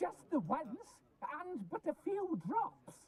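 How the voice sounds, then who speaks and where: An extremely high, put-on character voice moves through very wide pitch swings. The pace is very slow. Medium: video game.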